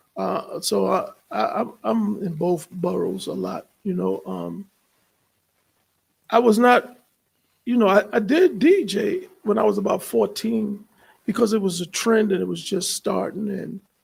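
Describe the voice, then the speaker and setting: The pace is fairly slow. This man talks in a New York accent. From New York City, Queens. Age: 60s. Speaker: content creator and entrepreneur. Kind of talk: livestream interview conversation.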